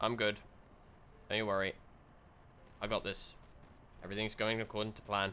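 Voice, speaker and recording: A man speaks fast-ish in a British accent, at a fairly quick pace with a fairly low pitch and a bright, sharp tone. His intonation is monotone and flat, broken by long, frequent pauses. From Britain. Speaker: video game streamer. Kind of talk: live gameplay commentary. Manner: casual, chatty.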